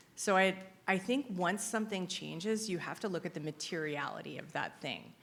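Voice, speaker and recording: Speaking at a fairly quick pace, a woman at a medium pitch shows vocal fry and ordinary pitch variation. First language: not English (English is second written language). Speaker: compliance consultant. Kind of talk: conference Q&A. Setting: stage with audience.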